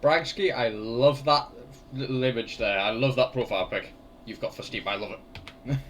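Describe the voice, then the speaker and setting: Over noticeable background noise, a man with a medium-pitched voice speaks at a moderate pace with ordinary pitch variation. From England. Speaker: gaming streamer. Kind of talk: casual live-stream chat while gaming. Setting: live stream with webcam.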